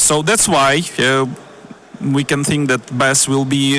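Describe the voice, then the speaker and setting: A man's fairly high voice with a Ukrainian accent, over noticeable background noise. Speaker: panel moderator. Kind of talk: panel discussion.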